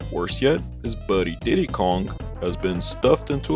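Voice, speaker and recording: Over music in the background, a man with a very deep, low pitch talks at a moderate pace, his pitch swinging very widely. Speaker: gaming YouTuber. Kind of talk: video game review narration. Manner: quiet, low-key; calm, unhyped.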